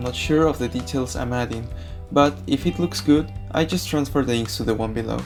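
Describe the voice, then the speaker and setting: Someone with a non-native accent speaks at a moderate pace. Music plays in the background. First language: not English. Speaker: digital comic artist. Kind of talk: drawing tutorial voice-over.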